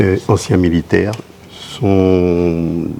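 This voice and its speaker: Noticeable background noise behind a man's very deep, low voice. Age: 80s+. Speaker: war veteran. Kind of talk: interview. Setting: on location at a school exhibition. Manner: halting.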